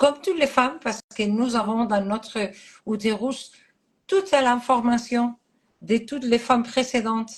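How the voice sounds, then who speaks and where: The speaker goes at a fairly slow pace with ordinary pitch variation. The background is quiet. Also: woman. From Catalonia, Spain. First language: Catalan (speaking French). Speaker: astrologer. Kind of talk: interview. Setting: live stream. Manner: halting.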